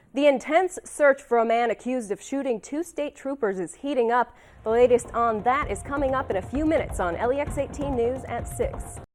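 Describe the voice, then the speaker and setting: Over music in the background, the speech runs at a fairly quick pace with hardly any pauses and ordinary pitch variation. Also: woman, high pitch for a woman. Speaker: TV news reporter and anchor. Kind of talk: TV news anchor read. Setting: studio.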